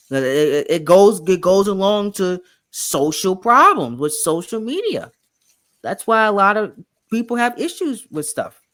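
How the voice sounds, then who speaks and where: In a Southern US accent, the speaker delivers words at a fairly slow pace. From US South, Louisiana. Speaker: interview show host. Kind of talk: casual interview chat. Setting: video call.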